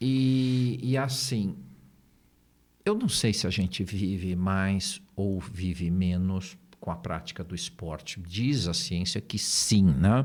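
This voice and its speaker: Lively intonation carries this very slow delivery. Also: man, fairly low pitch for a man. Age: 60s. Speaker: therapist and neurolinguistic programming trainer. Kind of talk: podcast interview.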